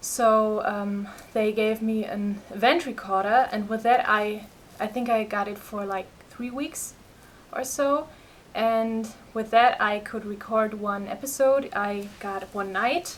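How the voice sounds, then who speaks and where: Speaking at a very slow pace with a German accent, the voice shows ordinary pitch variation. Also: woman, fairly high pitch for a woman. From Germany. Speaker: patient sharing health experience. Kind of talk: personal vlog testimony. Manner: halting, many fillers.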